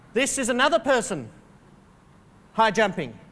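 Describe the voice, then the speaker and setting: Speaking with an Australian accent, a man uses a bright, sharp tone at a moderate pace. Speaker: keynote speaker. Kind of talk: keynote speech. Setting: stage with audience. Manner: humorous, interactive with audience.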